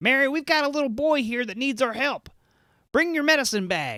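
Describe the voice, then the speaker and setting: At a fairly quick pace, a high-pitched put-on character voice comes through on a very clean recording with a silent background. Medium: read story.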